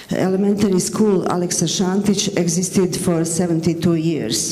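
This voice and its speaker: With a Bosnian accent, a woman with a fairly low pitch talks at a moderate pace and fairly even intonation, amid noticeable background noise and audible room echo. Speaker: teacher. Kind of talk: conference presentation. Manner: halting, with self-corrections.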